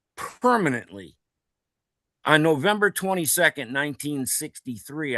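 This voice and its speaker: Over a quiet background, a man with an American accent and a fairly high pitch uses a bright, sharp tone with very wide pitch swings. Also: dry, close sound with no echo. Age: 70s. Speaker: participant in online citizen democracy discussion. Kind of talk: group video discussion. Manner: halting.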